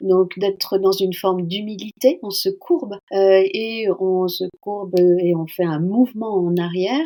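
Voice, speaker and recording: A woman talks at a very slow pace. Her pitch is medium and her intonation fairly even. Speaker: founder of a workplace training organisation. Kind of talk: podcast interview answer.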